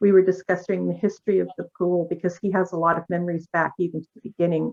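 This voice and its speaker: A woman's voice, dry and close with no echo. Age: 60s. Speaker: board member or resident at planning workshop. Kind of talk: public meeting discussion. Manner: halting.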